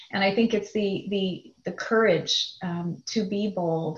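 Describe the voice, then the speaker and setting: A somewhat breathy woman's voice with fairly even intonation. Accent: American. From US Midwest, Chicago suburbs. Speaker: business executive. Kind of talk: interview conversation.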